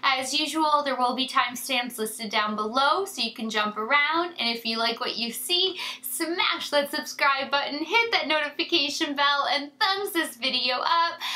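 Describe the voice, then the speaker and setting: A woman's high-pitched voice with lively intonation, at a moderate pace with hardly any pauses, over noticeable background noise. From Canada. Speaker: beauty YouTuber. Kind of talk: casual chat to camera. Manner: animated.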